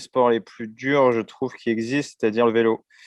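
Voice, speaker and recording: A man delivers his words at a medium pitch in a monotone, flat intonation. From France, Seine-Saint-Denis (La Courneuve). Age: 30s. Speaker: endurance cyclist and adventurer. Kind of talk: interview testimony. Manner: hesitant, many fillers.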